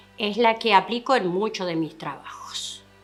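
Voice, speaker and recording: Music plays behind a woman as she talks. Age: 50s. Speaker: artisan weaver. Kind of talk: interview testimony. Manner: halting.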